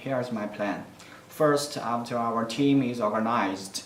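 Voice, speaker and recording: In a Chinese accent, a man speaks at a medium pitch and a fairly slow pace with fairly even intonation, with audible room echo and noticeable background noise. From China. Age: young. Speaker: university student applicant. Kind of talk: self-introduction video answering application questions. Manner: halting, with frequent fillers.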